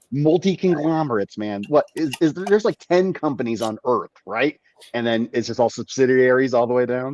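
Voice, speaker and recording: With an American accent, a man talks fairly quickly at medium pitch with lively intonation, the sound dry and close with no echo. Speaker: cannabis grow show host. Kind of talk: casual chat. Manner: quieter than usual.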